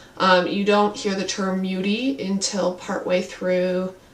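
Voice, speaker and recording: Noticeable background noise under a woman's medium-pitched voice. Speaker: book reviewer. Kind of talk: casual talk to camera.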